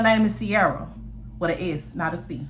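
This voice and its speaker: A woman talks with vocal fry, lively intonation and an animated tone. Audible room echo surrounds her voice. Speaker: storyteller. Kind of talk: storytelling. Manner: fast.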